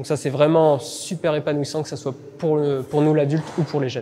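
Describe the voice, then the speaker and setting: Noticeable background noise behind a man's voice, fairly high in pitch. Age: 30s. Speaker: vocational teacher, baker by training. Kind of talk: interview testimony. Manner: halting, frequent hesitations.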